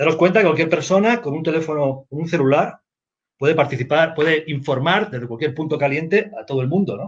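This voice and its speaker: A fairly high-pitched man's voice with a Spanish accent, ordinary pitch variation, and a fairly quick pace. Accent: Spanish accent, still noticeable. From Spain. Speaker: news agency editor. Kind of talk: panel discussion.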